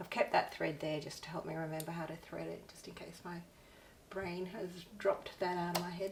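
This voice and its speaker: In an Australian accent, a woman with fairly low pitch speaks at a fairly quick pace with big swings in loudness and audible room echo. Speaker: artist and craft vlogger. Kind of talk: casual craft tutorial chat. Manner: raising voice above usual; hesitant with fillers.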